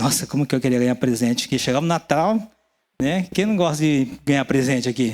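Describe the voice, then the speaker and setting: A man talks at a fairly quick pace in a normal speaking voice with a fairly high pitch and ordinary pitch variation. The recording is very clean with a silent background. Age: 60s. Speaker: pastor. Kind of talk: sermon.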